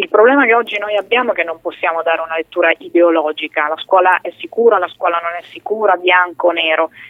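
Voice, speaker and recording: A woman with a fairly low pitch rushes along at a very fast pace with hardly any pauses. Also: ordinary pitch variation. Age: 30s. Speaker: politician. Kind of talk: radio interview. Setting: studio.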